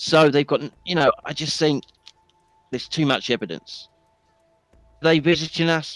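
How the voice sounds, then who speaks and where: A man with a British accent, music in the background. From England. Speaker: discord chat participant. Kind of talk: casual chat.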